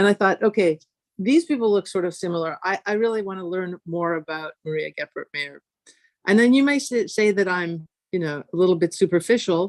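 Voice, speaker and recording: This woman talks at a fairly quick pace with medium pitch and ordinary pitch variation. The background is quiet. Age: 60s. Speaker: physics professor. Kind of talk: conference talk. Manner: hesitant, many fillers.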